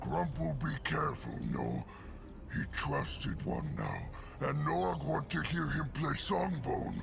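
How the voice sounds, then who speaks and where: Someone in a put-on character voice speaks at a fairly slow pace over loud background noise. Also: man. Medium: video game. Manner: simple broken speech.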